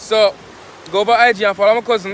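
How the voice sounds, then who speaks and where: Spoken at a fairly quick pace with a Jamaican accent, over noticeable background noise. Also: man. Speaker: vlogger. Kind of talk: casual vlog chat. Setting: outdoors by the seaside.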